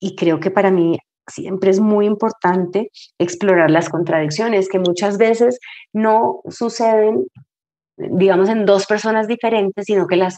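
A woman with a dark, mellow tone and medium pitch speaks at a fairly slow pace with ordinary pitch variation against a quiet background. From Colombia, Cali. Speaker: novelist and screenwriter. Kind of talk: interview conversation.

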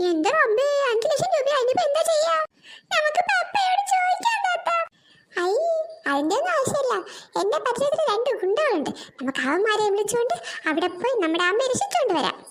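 A woman speaks in a cartoonish character voice at an extremely high pitch, her pitch swinging very widely while her loudness stays very even, at a moderate pace. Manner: bossy, exclamatory.

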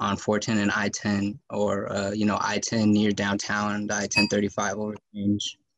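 A man with an American accent speaks at a fairly low pitch in a monotone, flat intonation. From San Antonio, Texas; Texas. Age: 20s. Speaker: city council candidate, student; council candidate. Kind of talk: candidate forum debate; forum debate answer. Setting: video call. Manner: halting, many fillers. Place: home room. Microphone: webcam.

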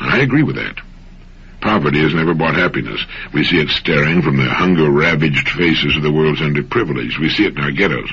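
Very fast and very deep, a man's voice runs with ordinary pitch variation. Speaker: motivational radio host. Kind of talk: motivational radio talk. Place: studio.

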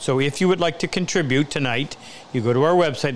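A man speaks at a very fast pace with ordinary pitch variation. Light background noise is present. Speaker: woodworking instructor hosting the stream. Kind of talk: live Q&A host talk. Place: workshop.

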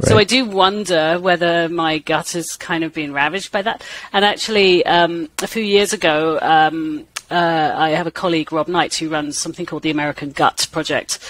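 A woman with an English accent speaks at a moderate pace in a fairly low voice, recorded dry with no echo over light background noise. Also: ordinary pitch variation. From England. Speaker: microbiology professor. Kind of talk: interview. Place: home room. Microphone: headset.

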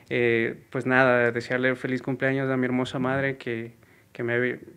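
A man with a mid-range pitch talks at a moderate speed. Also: very clean recording, silent background. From Ecuador, Guaranda (Bolívar). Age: 30s. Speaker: singer, tribute contestant. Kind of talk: interview.

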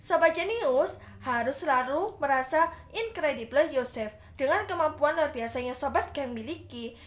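A woman speaks at a high pitch with an upbeat tone and lively intonation. Her pace is moderate. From Indonesia. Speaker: student radio announcer contestant. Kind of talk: radio announcer patter, scripted-style show segment. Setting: radio studio broadcast simulation. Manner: bright, chatty, upbeat, friendly; rhetorical questions to listeners, Indonesian-English code-mixing. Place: home room. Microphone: phone near.

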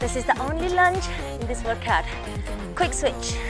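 A woman talks at a fairly slow pace, with clear music behind her. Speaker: fitness instructor. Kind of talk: workout instruction. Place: garden. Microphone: lapel.

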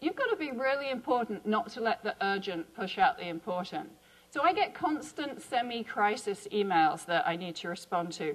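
A woman with a southern English accent speaks in a fairly high voice with very wide pitch swings. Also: moderate pace. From England, Chiltern Hills; England. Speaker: biology professor and associate dean; biology professor. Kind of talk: conference talk. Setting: symposium stage with audience. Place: hall. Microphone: lapel.

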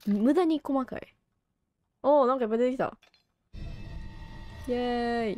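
A woman with a Kansai accent speaks at a high pitch and a moderate pace, with ordinary pitch variation and big swings in loudness. Music plays in the background, and she leaves long, frequent pauses. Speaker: game streamer. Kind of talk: casual let's-play commentary.

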